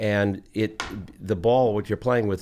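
Moderate-paced speech from a man in an American accent. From New Jersey. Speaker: pickleball pro and local musician. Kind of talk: casual interview. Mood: relaxed, enthusiastic. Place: studio. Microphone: studio mic.

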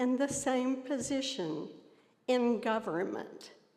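Speaking very slowly in a Tennessee accent, a woman uses a high pitch with ordinary pitch variation. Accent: Southern US (Tennessee). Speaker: citizen speaking at public comment. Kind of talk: public comment at a county meeting. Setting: county commission chambers.

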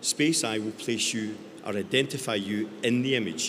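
Noticeable background noise surrounds a man speaking with a Scottish accent. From Scotland. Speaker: tech company founder. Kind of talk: panel discussion. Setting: stage with audience. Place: stage. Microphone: handheld.

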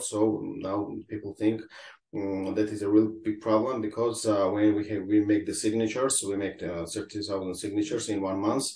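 A man's fairly low, dark and mellow voice at a moderate pace, with audible room echo. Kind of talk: interview answer. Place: home room. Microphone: video call.

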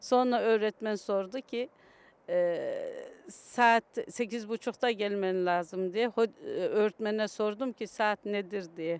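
A woman speaks at a very slow pace with fairly even intonation. The sound is dry with no echo. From Kayseri, Turkey; France from age 9; Turkey. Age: 50s. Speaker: Turkish immigrant mother; interviewee. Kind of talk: street interview. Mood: warm, reminiscing. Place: open country. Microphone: handheld.

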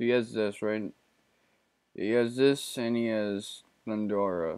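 Fairly slow in pace, a man speaks with fairly even intonation. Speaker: let's play gamer. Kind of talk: casual gameplay commentary. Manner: put-on deep voice, not his normal way of speaking.

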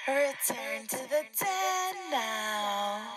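A woman's put-on character voice, high-pitched and lively in intonation, delivered at a very slow pace with audible room echo.

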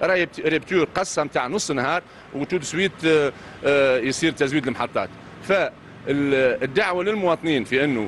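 At a moderate pace, a man talks with very even loudness over light background noise. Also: ordinary pitch variation. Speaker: interviewee. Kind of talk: interview answer. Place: street. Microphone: handheld.

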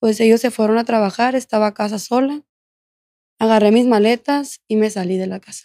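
A woman's fairly high, dark and mellow voice at a fairly quick pace, with fairly even intonation, a dry sound with no echo, and a quiet background. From Mexico, Culiacán, Sinaloa; Sinaloa, Mexico. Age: 20s. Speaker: former prisoner telling her story; podcast guest. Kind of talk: interview testimony. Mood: calm, reflective personal account. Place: studio. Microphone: studio mic.

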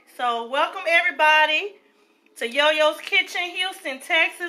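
A woman uses a raised, projected voice. She goes at a moderate pace with ordinary pitch variation. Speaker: home cook vlogger. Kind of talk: casual cooking vlog chat. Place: kitchen. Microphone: phone near.

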